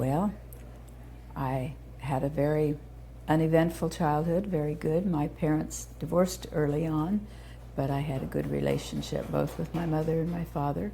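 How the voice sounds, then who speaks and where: A woman with an American accent at a moderate pace, with audible room echo. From Indiana, US Midwest (Terre Haute). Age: 70s. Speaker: founder of a children's therapy center. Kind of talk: oral history interview.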